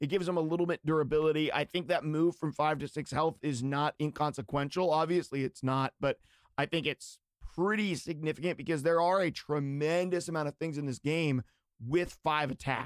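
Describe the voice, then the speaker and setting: A man with an American accent has a plain, everyday voice and fairly even intonation. The sound is dry and close with no echo, on a very clean recording with a silent background. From western Pennsylvania. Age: 30s. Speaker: podcast host. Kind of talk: casual chat.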